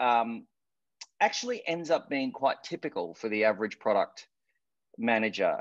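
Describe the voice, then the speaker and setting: The speaker has an Australian accent. The pitch swings very widely. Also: man. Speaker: product manager. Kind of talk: presentation. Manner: halting.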